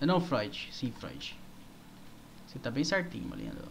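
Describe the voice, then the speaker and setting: A somewhat breathy man with ordinary pitch variation over light background noise. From Brazil. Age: 20s. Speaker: gaming streamer. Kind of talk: live gameplay stream chat. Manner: animated. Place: home room.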